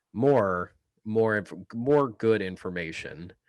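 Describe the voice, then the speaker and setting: A man speaks with a slight Southern US accent. The background is quiet. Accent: slight drawl. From Kansas. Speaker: political podcast co-host. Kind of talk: casual chat. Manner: fast.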